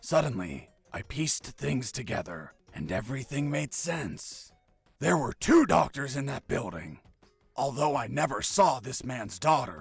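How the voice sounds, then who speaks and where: Over music in the background, a man performs a raspy put-on character voice at a medium pitch, swinging very widely in pitch at a moderate pace. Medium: video game. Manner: deadpan, overconfident.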